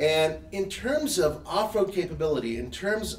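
There is audible echo in the room. The speaker is a man. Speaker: show host. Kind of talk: live show discussion. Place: garage.

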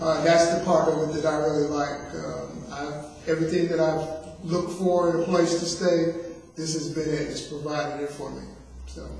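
Monotone, flat intonation at a moderate pace, with strong room echo and light background noise. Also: man. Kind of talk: interview answer. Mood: friendly, content. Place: hall.

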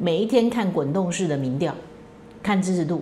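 A woman talks with lively intonation over light background noise. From Taiwan. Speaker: political commentary host; political commentator, lawyer. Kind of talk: solo commentary monologue; political commentary monologue. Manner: frequent fillers (哈, 啊). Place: home room.

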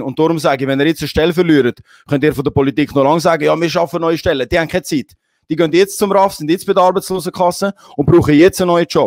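A man with a Swiss accent talks at a very fast pace in an animated tone, with a dry sound with no echo and a quiet background. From Switzerland. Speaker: talk show host. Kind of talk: casual chat. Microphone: handheld.

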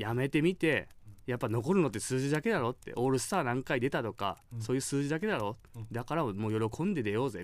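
This man talks at a very fast pace with lively intonation. The background is quiet, and the sound is dry with no echo. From Kyushu, Japan; Japan. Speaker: former pro baseball catcher, radio co-host; guest. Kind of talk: casual chat. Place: studio.

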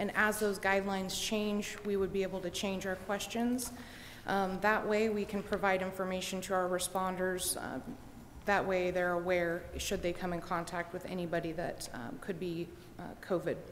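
With light background noise behind her, a woman speaks at a moderate pace and medium pitch in a monotone, flat intonation. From US Midwest. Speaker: dispatch supervisor; presenter. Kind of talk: formal presentation. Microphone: podium.

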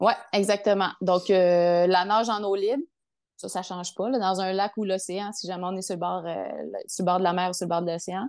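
Against a quiet background, a woman speaks at a moderate pace and a medium pitch. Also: fairly even intonation. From Quebec, Lac-Saint-Jean. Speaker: triathlete and physiotherapist. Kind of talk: casual interview. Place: home room. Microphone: earbuds.

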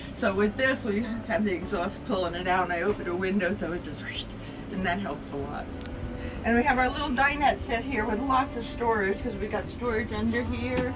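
Clear music runs underneath. Over it, a woman talks fairly quickly. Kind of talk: casual home tour explanation. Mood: friendly, proud. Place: bus. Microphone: camera far.

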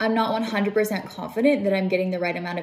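The woman's intonation stays fairly even as she speaks. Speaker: vlogger. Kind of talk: casual vlog chat. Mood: concerned, calm. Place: home room. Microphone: phone near.

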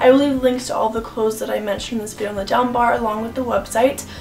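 Clear music plays in the background as a woman talks at a very fast pace with fairly even intonation. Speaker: fashion vlogger. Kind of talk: casual vlog chat. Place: home room.

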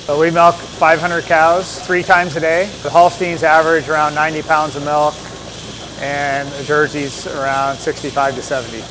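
Amid noticeable background noise, a man talks at a fairly slow pace with monotone, flat intonation. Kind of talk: walking tour explanation. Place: farm machine. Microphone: lapel.

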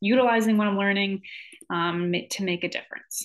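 A woman speaks with an American accent at a moderate pace. The background is quiet. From Michigan. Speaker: graduate student and college advisor. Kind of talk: self-introduction video. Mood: friendly, relaxed. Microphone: webcam.

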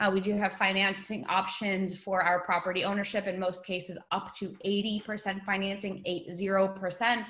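A woman with an American accent, monotone, flat intonation and a fairly slow pace, against a quiet background. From New York. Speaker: webinar host for overseas property company. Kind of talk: webinar presentation. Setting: video call. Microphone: webcam.

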